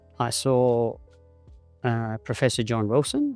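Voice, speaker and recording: A man with an Australian accent, fairly even intonation and a fairly slow pace, music playing behind him. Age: 70s. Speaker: cystic fibrosis patient. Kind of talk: personal testimony.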